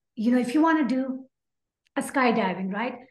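A woman with a Pakistani accent speaks at a high pitch. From Pakistan (Karachi). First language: Urdu. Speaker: aerospace engineer and health coach. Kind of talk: interview.

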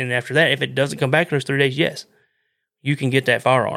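A man with a Southern US accent speaks at a medium pitch in a flat, monotone way, his tone bright and sharp, on a very clean recording with a silent background. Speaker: outdoors podcast host. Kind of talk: casual monologue. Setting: live stream.

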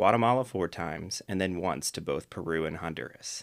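Speaking in a Midwestern American accent at a moderate pace, a man uses a very deep, low pitch and ordinary pitch variation in a very clean recording with a silent background. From US Midwest, Akron, Ohio. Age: 30s. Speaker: podcast host. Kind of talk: solo monologue, scripted talk.

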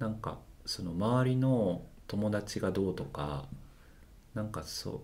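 A man with a fairly low voice speaks with lively intonation, leaving long, frequent pauses amid audible room echo. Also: fairly slow pace. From Japan, Osaka (Amagasaki). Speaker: healer. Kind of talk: casual interview chat.

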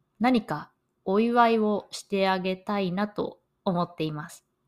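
A woman talks at a fairly slow pace and a medium pitch, with ordinary pitch variation. The recording is very clean, with a silent background. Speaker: podcast host, Japanese language teacher. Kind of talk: learner podcast monologue. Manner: slow and clear.

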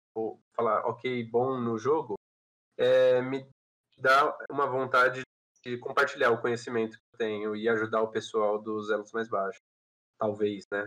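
A man with an ordinary speaking voice talks in a medium pitch at a fairly slow pace. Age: 20s. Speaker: game company employee. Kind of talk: podcast interview.

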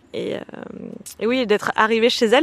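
A woman is speaking. Her pace is moderate. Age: 30s. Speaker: friend interviewed in a documentary. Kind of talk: personal testimony.

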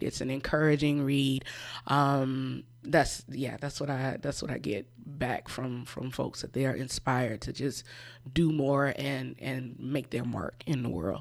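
Speaking fairly slowly with a Southern US accent, a woman's very deep, low voice shows vocal fry and fairly even intonation on a very clean recording with a silent background. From South Carolina, US South (Orangeburg). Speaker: author. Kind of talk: radio interview.

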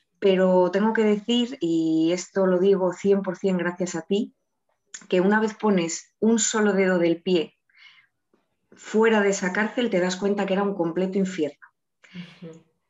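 Speaking at a fairly slow pace, a woman has a plain, everyday voice. Her pitch is medium and her intonation fairly even. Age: 30s. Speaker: eating disorder patient in recovery. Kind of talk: testimony.

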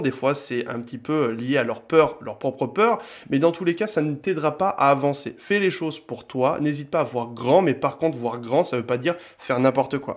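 A fairly high male voice at a moderate pace, with ordinary pitch variation and hardly any pauses. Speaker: podcast host. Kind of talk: solo podcast monologue.

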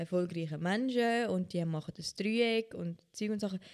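A woman's dark, mellow voice sits at a fairly low pitch and shows ordinary pitch variation. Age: 20s. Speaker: podcast host. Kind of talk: casual chat.

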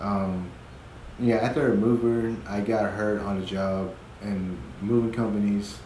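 Fairly even intonation from a man with fairly low pitch at a fairly slow pace, amid audible room echo and noticeable background noise. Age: 20s. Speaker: father sharing his experiences; podcaster. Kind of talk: casual chat.

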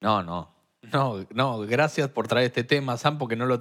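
A man speaks at a moderate pace with a Rioplatense accent, his pitch medium and its variation ordinary. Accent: Argentine Spanish (rioplatense). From Argentina. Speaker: podcast co-host. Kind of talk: casual chat.

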